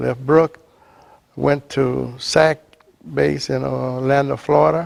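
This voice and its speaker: In a Southern US accent, a man speaks at a very slow pace. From US South, Louisiana. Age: 80s+. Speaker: retired Air Force veteran and Freemason. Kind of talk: personal testimony interview. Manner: halting.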